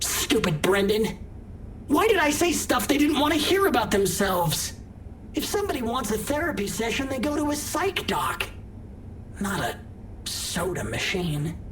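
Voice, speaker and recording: A put-on character voice, female-sounding and fairly high in pitch, at a moderate pace with long, frequent pauses over clear background noise. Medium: video game. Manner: friendly, folksy, joking.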